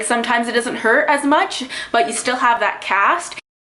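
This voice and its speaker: Through noticeable background noise, a woman speaks in an animated tone with ordinary pitch variation. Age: 20s. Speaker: vlogger. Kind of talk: personal vlog monologue. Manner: fast.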